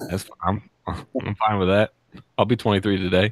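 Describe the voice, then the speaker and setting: Speaking at a moderate pace, a man with an American accent has a fairly low pitch, the sound dry and close with no echo. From Texas, Houston. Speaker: web show co-host. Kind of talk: casual chat.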